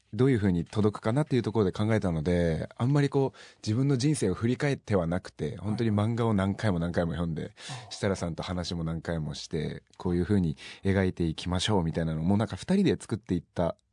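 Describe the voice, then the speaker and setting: In a dry, close recording with a quiet background, a man talks at a very fast pace. His voice is very deep and low, with a dark, mellow tone and lively intonation. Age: 20s. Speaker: singer-songwriter. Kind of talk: interview.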